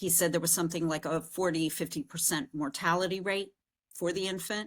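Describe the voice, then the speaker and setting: Recorded very cleanly against a silent background, a woman with an unremarkable speaking voice talks at a moderate pace and a fairly low pitch, with ordinary pitch variation. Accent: American. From US Northeast. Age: 60s. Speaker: podcast host. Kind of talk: casual interview chat.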